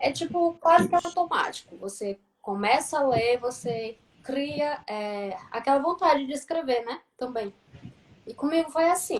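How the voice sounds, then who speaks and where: Fairly slow, high-pitched speech from a woman with lively intonation. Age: 30s. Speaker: journalism student and writer. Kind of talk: casual live-stream chat. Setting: online live stream.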